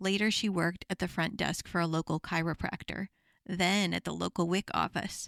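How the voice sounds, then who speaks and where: A woman with vocal fry speaks at a moderate pace and medium pitch, with fairly even intonation. The recording is very clean, dry and close, with no echo and a silent background. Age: middle-aged. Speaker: podcast host. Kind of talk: podcast interview; scripted introduction.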